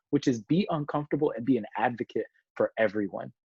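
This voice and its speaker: With a passionate tone and an American accent, a man with a fairly high pitch speaks at a moderate pace, the sound dry and close with no echo over a quiet background. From US South (south Georgia). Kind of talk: interview.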